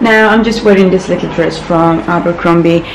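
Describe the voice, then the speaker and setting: Audible room echo and noticeable background noise fill the recording. Through them, a woman's voice shows ordinary pitch variation. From Morocco. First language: not English. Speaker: lifestyle vlogger. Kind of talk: casual vlog.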